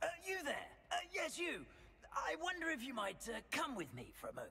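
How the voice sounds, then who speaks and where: Over clear background noise, a man does a put-on character voice at an extremely high pitch and a fairly quick pace. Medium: video game. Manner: polite, hesitant, formal.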